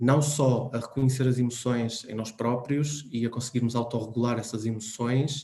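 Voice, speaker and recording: A man's somewhat breathy, medium-pitched voice with a dark, mellow tone, flat monotone intonation and a moderate pace. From Portugal. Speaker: psychologist speaker. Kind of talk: talk. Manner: hesitant.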